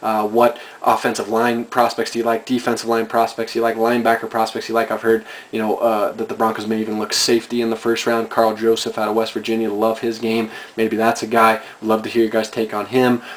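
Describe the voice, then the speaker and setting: A man speaks at a very fast pace in a monotone, flat intonation. There is noticeable background noise. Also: medium pitch for a man. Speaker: fan video commentator. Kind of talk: casual monologue.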